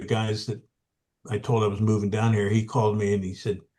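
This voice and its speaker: The man's voice is somewhat breathy, with a fairly low pitch. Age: 70s. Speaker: accountant. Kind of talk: casual chat. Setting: video call.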